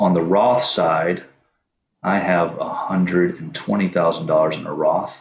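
A man speaks at a very deep, low pitch. His delivery is fairly slow with fairly even intonation. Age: 30s. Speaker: caller. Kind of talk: advice call-in.

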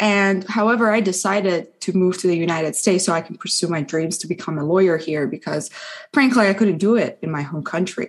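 In a Persian accent, a woman speaks at a medium pitch with lively intonation. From Iran. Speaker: law student. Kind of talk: casual interview.

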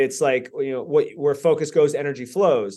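An ordinary speaking voice from a man, fairly high in pitch, at a moderate pace against a quiet background. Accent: American. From US, southeast Florida (Lantana, Lake Worth area). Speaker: personal development speaker and investor. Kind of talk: interview conversation.

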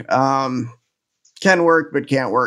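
The man speaks at a moderate pace with a medium pitch. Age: 30s. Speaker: elite para archer and professional speaker. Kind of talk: casual chat. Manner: halting.

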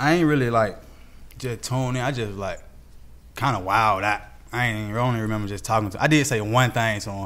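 Amid audible room echo, a man at a medium pitch talks at a very fast pace broken by long, frequent pauses, with ordinary pitch variation. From Atlanta, Georgia (Southside, Zone 3). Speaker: rapper. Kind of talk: casual interview chat.

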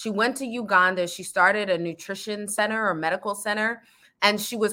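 A bright, sharp tone with ordinary pitch variation and an American accent. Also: woman. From Virginia, Norfolk. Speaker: diversity and inclusion consultant. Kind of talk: casual interview chat.

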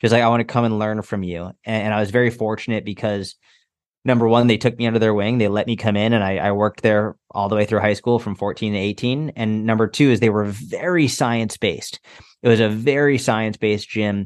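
A man uses a normal speaking voice, fairly low in pitch with fairly even intonation, at a fairly quick pace against a quiet background. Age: 30s. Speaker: fitness coach. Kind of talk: interview conversation.

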